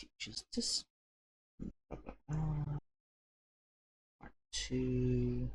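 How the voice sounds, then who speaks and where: A soft-spoken man at a very slow pace, with long, frequent pauses, in a dry, close sound with no echo. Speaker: self-taught IELTS learner. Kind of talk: study session livestream. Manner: soft-spoken, keeping voice down.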